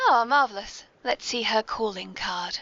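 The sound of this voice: The intonation is lively. The tone is bright and sharp. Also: woman.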